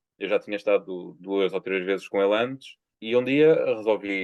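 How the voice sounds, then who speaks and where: A man with a European Portuguese accent speaks in a fairly low pitch. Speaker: poet. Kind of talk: interview. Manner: halting.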